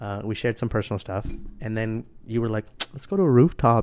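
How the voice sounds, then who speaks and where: This man's voice sits at a medium pitch. His pitch rises and falls in an ordinary way. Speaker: podcast host. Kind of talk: casual chat.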